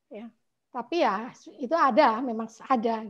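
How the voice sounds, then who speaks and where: Against a quiet background, a woman speaks. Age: 60s. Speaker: meditation class participant. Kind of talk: testimony. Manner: halting.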